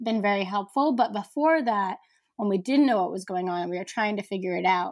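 A woman talks with a fairly high pitch and ordinary pitch variation. The recording is very clean, with a silent background. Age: 20s. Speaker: writer and photographer, cancer patient. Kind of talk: interview. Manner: halting.

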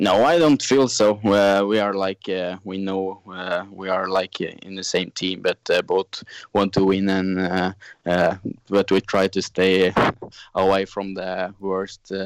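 A monotone, flat voice in a Norwegian accent at a very slow pace, dry and close with no echo, in a very clean recording with a silent background. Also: man, very deep, low pitch for a man. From Norway. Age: 20s. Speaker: snowmobile racer. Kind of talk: interview. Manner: halting.

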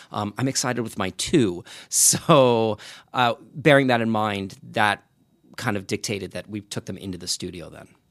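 A man with an American accent talks at a moderate pace with ordinary pitch variation and big swings in loudness. He has a plain, everyday voice. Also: fairly low pitch for a man, dry, close sound with no echo, very clean recording, silent background. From Long Island, New York. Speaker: podcaster and writer. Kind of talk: interview.

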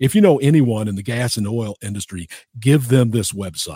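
On a very clean recording with a silent background and a dry, close sound with no echo, a man speaks at a medium pitch in a dark, mellow, somewhat breathy tone with lively intonation. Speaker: radio host. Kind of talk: interview.

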